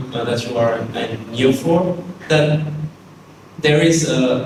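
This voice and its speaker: Speaking with a French accent, a man at a medium pitch talks at a fairly slow pace with ordinary pitch variation, amid audible room echo and noticeable background noise. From France. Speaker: architect and teacher. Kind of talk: lecture.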